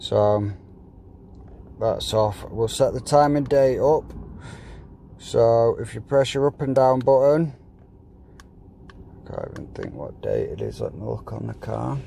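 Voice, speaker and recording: A man's fairly slow speech with big swings in loudness and long, frequent pauses, over noticeable background noise. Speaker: company director. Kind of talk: product setup tutorial. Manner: casual.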